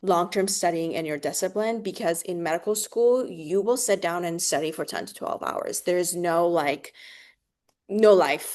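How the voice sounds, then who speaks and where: A woman with a non-native accent and fairly low pitch, at a moderate pace over a quiet background. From Oregon. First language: not English. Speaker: medical student. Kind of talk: interview.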